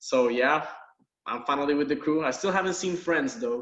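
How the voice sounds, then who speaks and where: With a slight Puerto Rican accent, a man speaks at a moderate pace in a bright, sharp tone with ordinary pitch variation, and the room echo is audible. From Puerto Rico. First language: Spanish. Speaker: university biology lab instructor. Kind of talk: course introduction video lecture. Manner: casual, laid-back.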